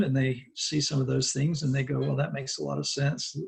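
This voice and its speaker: This man has a medium-pitched, somewhat breathy voice. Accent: American. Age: 60s. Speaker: Buddhist monk and teacher. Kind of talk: interview. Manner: conversational, with fillers.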